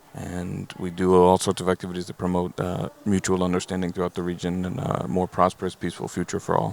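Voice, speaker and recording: At a very fast pace, a man talks in a very deep, low pitch with fairly even intonation. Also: hardly any pauses. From born in US, grew up Israel. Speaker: nonprofit co-founder, panelist. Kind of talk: panel self-introduction.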